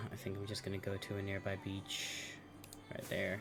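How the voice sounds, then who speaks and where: A fairly low-pitched man with an American accent, audible room echo and music in the background. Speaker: video game streamer. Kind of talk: casual live-stream gameplay chat.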